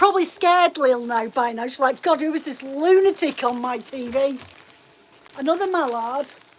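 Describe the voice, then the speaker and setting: With noticeable background noise behind her, a woman speaks in an animated tone at a high pitch, a moderate pace and ordinary pitch variation. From Scotland, Edinburgh; forces family, moved around. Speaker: fibre craft shop owner. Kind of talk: casual live stream chat. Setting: live video stream at home. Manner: chatty, animated.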